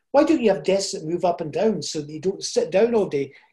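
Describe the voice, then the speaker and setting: A man's high voice with a dark, mellow tone, over a quiet background. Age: 70s. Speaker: motivational speaker and coach. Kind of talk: interview conversation.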